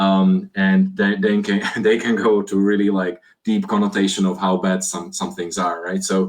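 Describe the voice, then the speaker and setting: In a monotone, flat intonation, a man speaks at a moderate pace with a fairly low pitch. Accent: Slovak. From Slovakia. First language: Slovak. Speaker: IT security executive. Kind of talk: podcast interview. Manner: halting.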